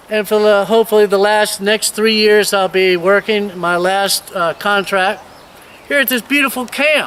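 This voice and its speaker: A man with a high pitch speaks at a moderate pace and very even loudness. Noticeable background noise is present. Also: fairly even intonation. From Virginia, US. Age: 60s. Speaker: missionary. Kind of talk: video tour and personal testimony. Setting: outdoors.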